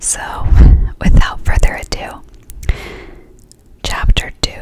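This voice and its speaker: Very slowly, a woman whispers while noticeable background noise carries on. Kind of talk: whispered ASMR storybook reading. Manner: whispered, soft, slow.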